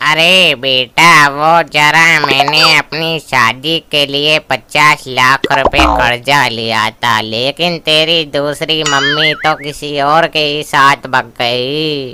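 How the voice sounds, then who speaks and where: A man puts on a cartoonish character voice at a fairly high pitch. He delivers it at a very slow pace. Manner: slow, weak.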